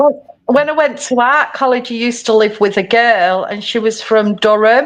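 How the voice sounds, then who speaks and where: A woman talks in a Manchester accent at a high pitch. Her pace is fairly slow and her pitch variation ordinary. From Manchester, England. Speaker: crafter and former teacher. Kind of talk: casual chat. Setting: live stream.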